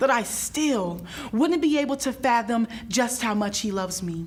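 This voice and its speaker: Noticeable background noise sits under the speech. The delivery has lively intonation at a moderate pace. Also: woman. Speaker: spoken word poet. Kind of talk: spoken word poetry performance.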